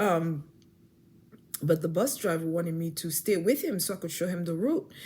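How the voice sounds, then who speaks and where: The tone is dark and mellow. There is a somewhat breathy quality to it. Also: woman. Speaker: faith vlogger. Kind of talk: personal testimony. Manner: fast; halting with many repetitions.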